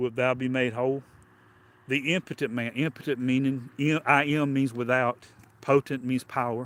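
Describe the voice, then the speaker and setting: A man with a Southern US accent speaks at a moderate pace in a monotone, flat intonation, leaving long, frequent pauses. The sound is dry and close with no echo, on a very clean recording with a silent background. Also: medium pitch for a man. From US South. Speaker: preacher. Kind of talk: sermon. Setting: livestream.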